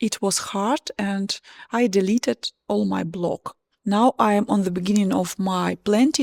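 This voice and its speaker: A woman's medium-pitched voice with a strong Russian accent, ordinary pitch variation and a very slow pace, in a very clean, dry, close recording with a silent background and no echo. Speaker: home renovation and plant vlogger. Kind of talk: casual vlog narration. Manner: halting.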